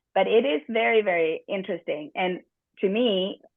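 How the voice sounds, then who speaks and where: A European accent with lively intonation. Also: woman. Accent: noticeable European. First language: not English. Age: 50s. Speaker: workshop presenter, business trainer. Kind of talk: workshop talk. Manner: occasional stumbling on words.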